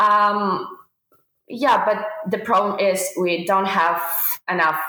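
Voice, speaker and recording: A very slow delivery in a Ukrainian accent, with ordinary pitch variation and audible room echo. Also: woman. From Ukraine. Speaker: veterinary student. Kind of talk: interview. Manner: halting, many fillers.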